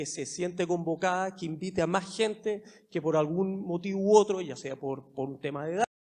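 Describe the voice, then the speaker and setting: Speech moves at a fairly quick pace. Its intonation is fairly even. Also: man. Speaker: government official. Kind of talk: panel discussion.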